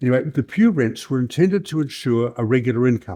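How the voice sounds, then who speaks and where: Recorded very cleanly against a silent background, a man's dark, mellow, somewhat breathy voice sounds dry and close with no echo, his pitch varying in an ordinary way. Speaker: historian. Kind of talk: lecture. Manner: fast.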